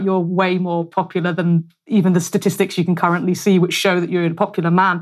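A woman with a British accent talks at a fairly quick pace. Her pitch is fairly low, and the background is quiet. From United Kingdom. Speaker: podcast host. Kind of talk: casual interview chat. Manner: animated, chatty.

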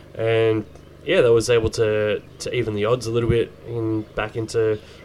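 A man speaks in an Australian accent. His pitch sits at medium. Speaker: podcast host. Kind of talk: casual chat. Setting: holiday house.

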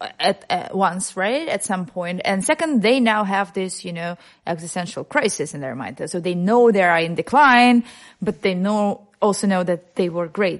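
Against a quiet background, a woman with a Russian accent speaks at a medium pitch and a moderate pace with lively intonation. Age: 30s. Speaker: radio journalist. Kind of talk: casual chat.

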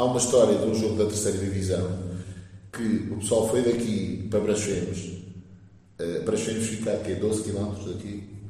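A man's fairly low pitch in monotone, flat intonation, with long, frequent pauses and audible room echo. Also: moderate pace. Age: 40s. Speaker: football supporter. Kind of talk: casual chat.

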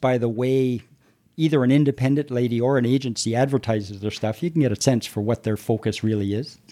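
At a fairly quick pace, a man with a dark, mellow tone speaks at a medium pitch with ordinary pitch variation on a very clean recording with a silent background. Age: 60s. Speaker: married client of escorts, retired energy industry worker. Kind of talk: interview. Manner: hesitant with fillers.

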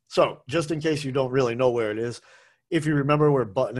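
This is a man with an American accent and a normal speaking voice, at medium pitch with ordinary pitch variation. The recording is very clean, with a silent background. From Massachusetts, US (Brookline). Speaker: food podcast host. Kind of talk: casual monologue. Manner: casual, rambling with fillers.

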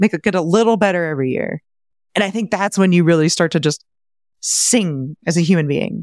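A woman speaks in a plain, everyday voice at a fairly low pitch with ordinary pitch variation and a fairly quick pace, in a very clean recording with a silent background and a dry, close sound with no echo. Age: 30s. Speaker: real estate investor and finance podcaster. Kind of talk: interview.

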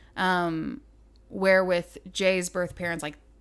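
A woman speaks in a shaky voice with an American accent. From southern Idaho. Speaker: adoptive mother and graphic designer. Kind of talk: interview. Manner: slight quiver in voice.

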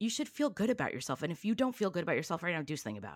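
With a Californian accent, the speaker talks at a very fast pace, the pitch swinging very widely. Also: woman. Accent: Californian American English. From Southern California, Long Beach. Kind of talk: casual chat.

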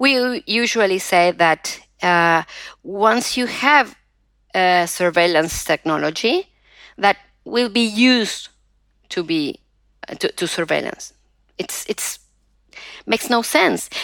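Speaking very slowly with long, frequent pauses, a woman with a Spanish accent uses lively intonation at a medium pitch, recorded very cleanly against a silent background in a dry, close sound with no echo. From Argentina. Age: 50s. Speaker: digital rights activist and professor. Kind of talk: interview. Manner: halting, many fillers.

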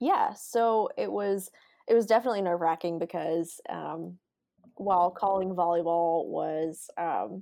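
A woman with a Southern US accent talks at a moderate pace over a quiet background. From Alabama, outside Montgomery. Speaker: sports information director and sideline reporter. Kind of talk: interview.

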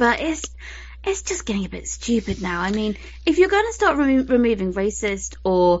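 A woman in a British accent at a fairly quick pace. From UK. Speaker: podcast host. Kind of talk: casual chat.

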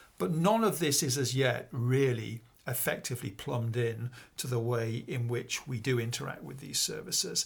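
A man with a northern English accent and vocal fry, at a medium pitch and moderate pace with ordinary pitch variation. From northern England, Peak District. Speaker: computer scientist and college principal. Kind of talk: interview. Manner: halting, many fillers.

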